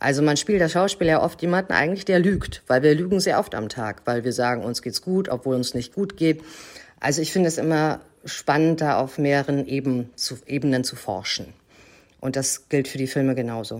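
A woman talks at a fairly quick pace with a very deep, low pitch and lively intonation. The recording is very clean, with a silent background. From Germany, Hamburg. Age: 40s. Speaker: actress and film producer. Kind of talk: interview.

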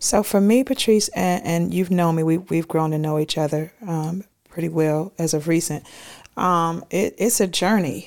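A woman with an unremarkable speaking voice talks at a moderate pace, fairly low in pitch with ordinary pitch variation, on a very clean recording with a silent background. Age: 50s. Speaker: hairstylist and fitness coach. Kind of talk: casual chat.

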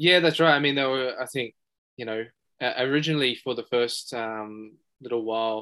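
Here a man speaks with an Australian accent at a fairly quick pace, his intonation fairly even. The recording is very clean, with a silent background. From Western Sydney, Australia. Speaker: buyer's agent. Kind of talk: interview. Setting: studio.

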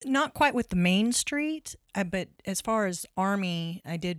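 The speaker has a West Texas accent and keeps a moderate pace. The sound is dry and close, with no echo. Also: woman, very clean recording, silent background. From Texas (Lubbock). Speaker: nonprofit executive director. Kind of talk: casual interview.

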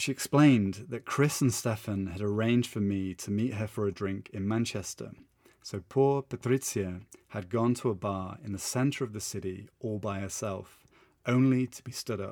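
This man has a British accent and a fairly low pitch. He moves at a moderate pace with ordinary pitch variation. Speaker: English teacher and podcaster. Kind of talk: literary audiobook-style storytelling, scripted personal narration. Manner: dramatic, suspenseful, warm.

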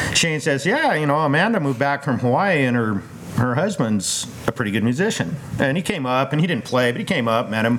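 The speaker moves at a fairly quick pace with lively intonation and very even loudness, while noticeable background noise sits underneath. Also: man, fairly high pitch for a man. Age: 50s. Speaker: vineyard owner. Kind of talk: casual chat. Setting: outdoors.

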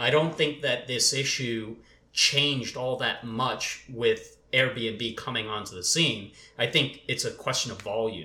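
An ordinary speaking voice, fairly slow in pace and with ordinary pitch variation. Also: man, medium pitch for a man. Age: 30s. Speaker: employment attorney. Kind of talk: casual panel discussion.

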